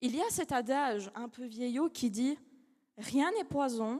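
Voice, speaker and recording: A woman talks at a high pitch in a dark, mellow tone with ordinary pitch variation. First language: not French (speaking French). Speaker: law student, eloquence contest finalist. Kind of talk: speech contest oration. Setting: stage with audience. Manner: halting, self-correcting.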